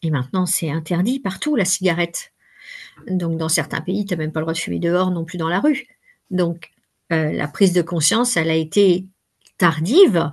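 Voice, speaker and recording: Speaking at a moderate pace with long, frequent pauses, a woman has a fairly low, somewhat breathy voice and ordinary pitch variation. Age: 60s. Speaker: workshop facilitator and coach. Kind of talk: interview. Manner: hesitant, many fillers.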